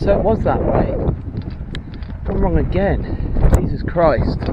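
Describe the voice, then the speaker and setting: A man's lively intonation, with audible room echo and noticeable background noise. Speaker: hiking vlogger. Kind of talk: walking vlog narration. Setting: outdoors. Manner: casual, chatty.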